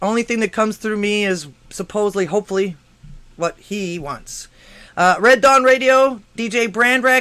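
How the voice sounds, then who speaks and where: A man's raised, projected voice, bright and sharp in tone, at a moderate pace. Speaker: call-in talk show host. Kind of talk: live show monologue. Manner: casual; halting, repeats words.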